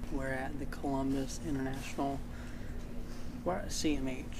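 Noticeable background noise runs under the recording. A man talks at a moderate pace. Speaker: vlogger. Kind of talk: casual vlog chat. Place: hall. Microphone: phone near.

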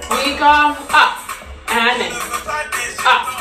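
Over clear music in the background, the voice is raised and projected. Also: woman. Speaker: fitness instructor. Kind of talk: workout instruction with counting. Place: home room. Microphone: camera far.

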